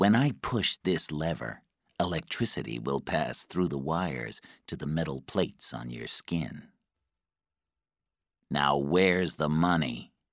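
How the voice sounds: A man puts on a character voice with an extremely low pitch. He delivers it slowly with lively intonation. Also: very clean recording, silent background.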